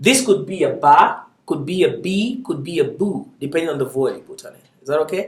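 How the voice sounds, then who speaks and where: Delivered at a fairly quick pace, the speech rises and falls sharply in loudness. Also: man. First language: not English, not Arabic. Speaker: Arabic language teacher. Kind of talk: lecture. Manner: casual, encouraging.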